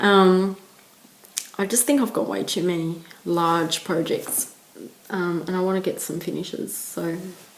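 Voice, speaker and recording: A woman speaks with long, frequent pauses. Noticeable background noise is present. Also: medium pitch for a woman, ordinary pitch variation, fairly slow pace. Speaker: cross stitch video blogger. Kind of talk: casual chat.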